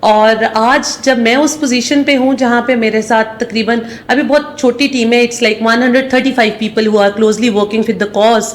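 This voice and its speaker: A woman with a Pakistani accent, fairly high pitch and fairly even intonation, hardly any pauses, over noticeable background noise. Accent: Pakistani Urdu. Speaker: CEO. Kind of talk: interview.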